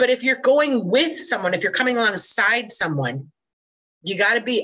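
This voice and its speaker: A woman speaks with an American accent. Her tone is bright and sharp, and her pace fairly quick. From Minnesota. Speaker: podcast co-host, college educator. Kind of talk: casual interview.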